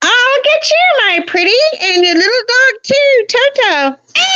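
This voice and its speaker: In a put-on character voice, a female-sounding speaker cackles at an extremely high pitch and a fairly slow pace. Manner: cackling.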